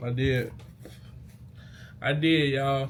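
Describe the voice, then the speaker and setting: A man speaks at medium pitch in an animated, somewhat breathy tone, with audible room echo. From Mississippi, US South. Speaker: YouTuber, former college football player. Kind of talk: casual vlog storytelling. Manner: casual, animated; stuttering, halting.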